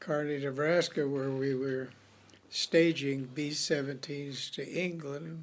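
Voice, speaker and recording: Very slowly, a man speaks with an American accent at a fairly high pitch. His intonation is fairly even. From Los Angeles, California. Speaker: war veteran. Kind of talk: oral history interview.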